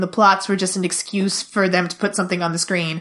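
Here is a woman with a normal speaking voice. She talks at a moderate pace in a medium pitch. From Canada, immigrated as young child. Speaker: podcast co-host, fandom writer. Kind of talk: casual chat.

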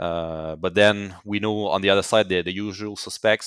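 A man with a French Canadian accent at a moderate pace, flat and monotone, on a very clean recording with a silent background. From Quebec, Canada. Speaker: company CEO. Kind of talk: interview.

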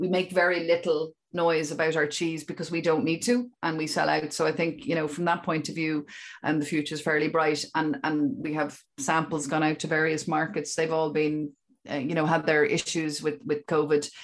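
Her pitch is very deep and low, and the woman speaks at a moderate pace. Intonation stays fairly even over a very clean recording with a silent background. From Ireland, Dún Laoghaire (Dublin). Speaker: sheep dairy farmer and business owner. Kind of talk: interview.

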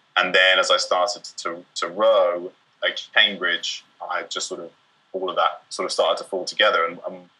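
With a southern English accent, a man talks at a moderate pace with big swings in loudness. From England, Bristol. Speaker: doctor. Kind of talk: casual chat.

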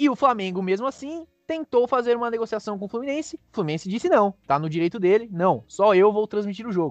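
Talking at a fairly quick pace with hardly any pauses, a man uses a high pitch and lively intonation, the sound dry and close with no echo. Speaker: sports podcast co-host. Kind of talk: casual chat.

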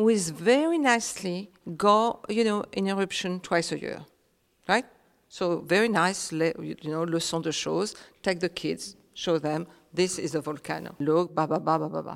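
On a very clean recording with a silent background, a woman with a French accent speaks at a moderate pace in a fairly low voice with ordinary pitch variation. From Réunion. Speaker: author. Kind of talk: panel talk.

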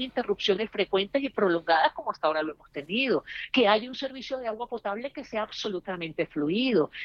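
Dry and close with no echo, an unremarkable speaking voice moves at a fairly quick pace with lively intonation. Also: woman. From Venezuela. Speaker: political analyst. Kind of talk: panel discussion.

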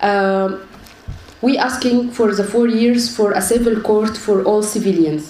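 Noticeable background noise and audible room echo surround a woman speaking at a fairly slow pace, her fairly high pitch held in fairly even intonation and her loudness very even. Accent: Arabic. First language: Arabic. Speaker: human rights activist. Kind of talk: panel talk. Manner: halting, repeats words.

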